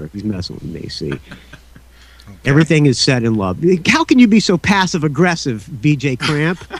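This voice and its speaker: With noticeable background noise, a man at a fairly high pitch talks at a moderate pace, his pitch swinging very widely and his loudness rising and falling sharply, broken by long, frequent pauses. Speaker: podcast host. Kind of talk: casual chat.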